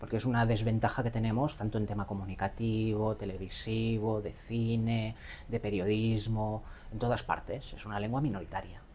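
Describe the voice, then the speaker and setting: Speaking in a Catalan accent at a moderate pace, a woman uses a very deep, low pitch, a dark, mellow tone and monotone, flat intonation. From Catalonia, Barcelona. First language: Catalan (speaking Spanish). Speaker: AI educator. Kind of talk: interview.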